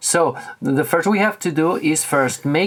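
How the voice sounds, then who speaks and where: In a Spanish accent, a man talks at a very slow pace. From Spain, Barcelona. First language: Catalan or Spanish. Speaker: tech reviewer. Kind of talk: tutorial. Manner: halting.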